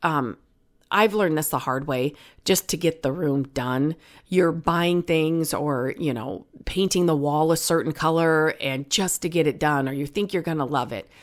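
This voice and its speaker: On a very clean recording with a silent background, a woman's voice comes through. Her pitch is very deep and low, with ordinary pitch variation. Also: moderate pace. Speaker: DIY and home decor podcast host. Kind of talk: casual solo chat. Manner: conversational with many fillers.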